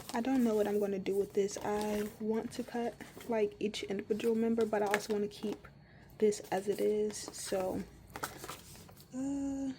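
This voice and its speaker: Fairly high-pitched woman in a monotone, flat delivery at a moderate pace, with long, frequent pauses and noticeable background noise. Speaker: K-pop merch collector YouTuber. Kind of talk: casual collection tour. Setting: at home. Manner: hesitant with fillers.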